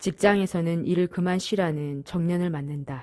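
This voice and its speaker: A woman speaks fairly slowly in a dark, mellow tone, pitched fairly low. The recording is very clean, with a silent background. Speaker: amateur narrator. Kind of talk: reading aloud. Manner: halting; strong enunciation.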